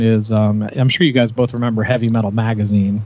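Amid noticeable background noise, a man talks at a moderate pace with medium pitch and fairly even intonation. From Nashville, Tennessee.

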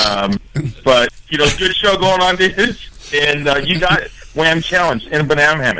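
Over noticeable background noise, a man speaks at a moderate pace and fairly high pitch with lively intonation. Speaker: security guard. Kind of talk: casual chat.

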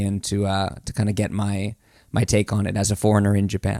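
A man with a Florida accent speaks at a fairly low pitch. The sound is dry and close with no echo, on a very clean recording with a silent background. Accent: American, Florida. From US, Florida. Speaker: TV personality. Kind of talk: casual chat.

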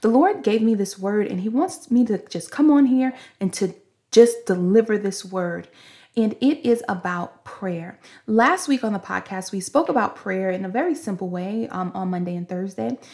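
A woman's somewhat breathy, medium-pitched voice with a dark, mellow tone, at a moderate pace, in a very clean recording with a silent background. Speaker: podcast host and preacher. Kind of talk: fervent prayer and prophetic preaching. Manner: impassioned, rhythmic, praise-filled delivery with repeated hallelujahs; earnest, exhortative, speaking as if by divine inspiration.

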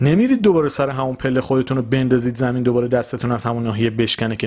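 A man at a medium pitch talks at a very fast pace. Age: 20s. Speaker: podcast host. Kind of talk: solo motivational monologue.

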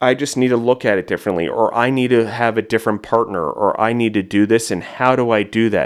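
The recording is very clean with a silent background. A man talks at a very fast pace with fairly even intonation. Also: medium pitch for a man. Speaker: food entrepreneur and podcaster. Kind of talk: casual interview.

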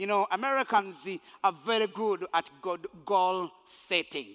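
At a fairly slow pace, a man uses a raised, projected voice with high pitch, a bright, sharp tone and ordinary pitch variation, the sound dry and close with no echo. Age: 50s. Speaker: pastor. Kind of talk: sermon. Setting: church.

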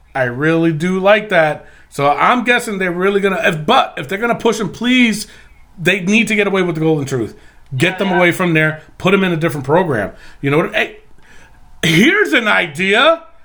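Raised and projected, a man's high-pitched voice moves at a moderate pace with lively intonation. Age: 40s. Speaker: wrestling podcast host. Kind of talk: casual chat. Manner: animated.

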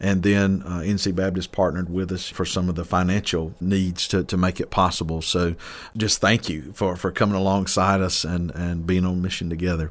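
In an eastern North Carolina accent, a man talks in a very deep, low voice with monotone, flat intonation against a quiet background. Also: moderate pace, hardly any pauses. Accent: eastern North Carolina Southern US. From eastern North Carolina (Mount Olive). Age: 30s. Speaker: pastor. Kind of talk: casual interview. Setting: studio.

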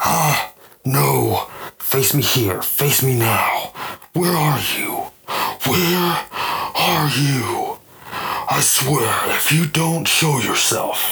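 A man drags out his words at a very slow pace in a put-on character voice that sounds raspy. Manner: screaming, furious, threatening.

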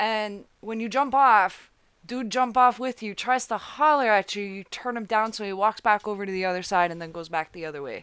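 A woman speaks at a moderate pace with fairly high pitch and ordinary pitch variation. It is a plain, everyday voice over a quiet background. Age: 20s. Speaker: podcast guest. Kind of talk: casual chat. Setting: studio.

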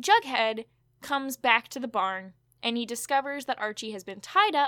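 The recording is very clean with a silent background, and the woman's tone is bright and sharp. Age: 20s. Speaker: podcast host. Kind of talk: casual recap chat.

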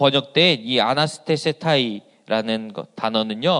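The man takes his words very slowly. Around him the background stays quiet. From South Korea, Asan, South Chungcheong. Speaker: pastor. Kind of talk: sermon. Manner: hesitant fillers.

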